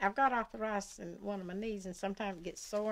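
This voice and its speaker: Speaking with a Southern US accent, a woman uses a fairly high pitch, a moderate pace and fairly even intonation. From US South. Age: 80s+. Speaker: retired mill worker; interviewee. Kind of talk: oral history interview. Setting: at her home. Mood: calm, reminiscing. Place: home room.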